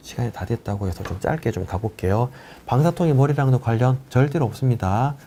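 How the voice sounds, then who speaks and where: With a dark, mellow tone and a somewhat breathy voice, a man speaks at medium pitch and a fairly quick pace with ordinary pitch variation. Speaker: orthopedic spine doctor. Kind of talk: live Q&A lecture. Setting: live stream. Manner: fast.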